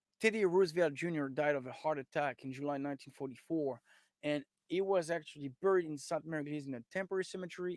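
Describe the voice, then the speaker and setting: A man speaks with a French accent. His pitch is fairly high and varies in an ordinary way. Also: dry, close sound with no echo. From France. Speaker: historian and tour guide. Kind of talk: lecture. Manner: halting, with many fillers.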